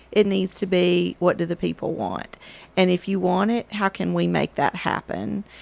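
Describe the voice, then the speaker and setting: A woman speaks with a Tennessee accent in a very clean recording with a silent background, the sound dry and close with no echo. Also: moderate pace. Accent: US Southern (Tennessee). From Murfreesboro, Tennessee. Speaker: local historic preservation advocate. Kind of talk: casual chat.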